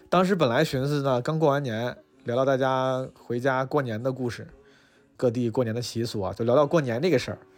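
A man talks fairly quickly at a medium pitch, with ordinary pitch variation, while music plays in the background. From Northeast China. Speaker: podcast host and stand-up comedian. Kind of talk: casual chat. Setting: restaurant.

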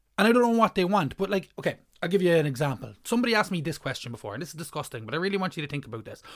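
Irish accent on a very clean recording with a silent background. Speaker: comedian. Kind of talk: stand-up comedy rant with a scripted feel.

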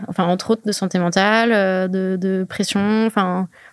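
A woman at a medium pitch and moderate pace, with fairly even intonation. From French-speaking Switzerland (Lausanne, Verbier). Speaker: freeride skier. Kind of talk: casual interview. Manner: halting, many fillers and repetitions.

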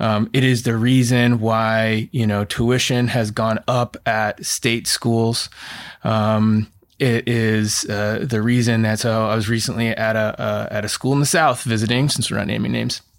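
In a very clean recording with a silent background, a man with an American accent talks fairly slowly at a medium pitch, his intonation monotone and flat. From Oregon, US. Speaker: college counselor and former admissions counselor. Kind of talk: casual chat.

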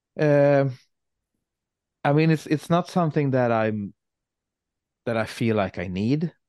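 A man with a Swedish accent speaks at a fairly slow pace with long, frequent pauses, his fairly high voice showing lively intonation in a dry, close recording with no echo and a quiet background. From Sweden. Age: 40s. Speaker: metal guitarist and songwriter. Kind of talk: casual interview.

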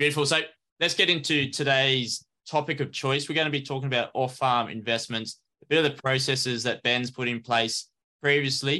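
Over a quiet background, a man with an Australian accent speaks in a bright, sharp tone and fairly even intonation. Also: medium pitch for a man. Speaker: podcast host. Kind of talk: scripted intro and disclaimer; casual interview chat.

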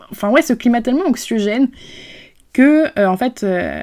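On a very clean recording with a silent background, a woman speaks at a fairly quick pace. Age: 20s. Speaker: podcast host. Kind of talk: personal testimony. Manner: halting.

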